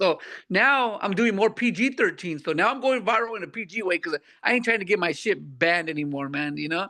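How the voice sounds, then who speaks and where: Against a quiet background, a man with a high pitch uses a raised, projected voice, lively intonation and a fairly quick pace. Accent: American. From California, Santa Barbara County. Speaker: comedian. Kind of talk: casual interview. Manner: halting.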